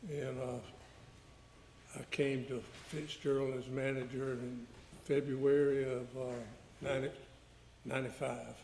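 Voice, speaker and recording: Speaking with a Georgia accent, a man talks at a very slow pace with long, frequent pauses. His pitch is medium, his intonation monotone and flat, and audible room echo surrounds him. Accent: US Southern (Georgia). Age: 70s. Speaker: witness, victim's father. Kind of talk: courtroom testimony. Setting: courtroom. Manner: halting.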